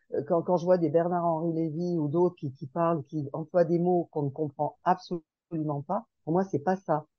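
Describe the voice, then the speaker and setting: In a plain, everyday voice, a woman speaks at a fairly slow pace with a fairly low pitch and fairly even intonation. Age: 60s. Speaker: podcast group participant. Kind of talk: casual group discussion.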